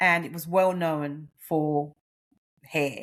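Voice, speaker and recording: The speaker has an Australian accent. The tone is animated. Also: woman. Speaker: nutritionist and menopause coach. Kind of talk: podcast interview.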